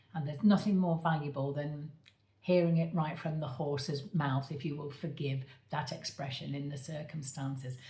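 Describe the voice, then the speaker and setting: A somewhat breathy, dark, mellow voice with fairly even intonation and audible room echo. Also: woman, very deep, low pitch for a woman, moderate pace. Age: 60s. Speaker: medium and coach, author. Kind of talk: direct-to-camera appeal. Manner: halting, with many fillers.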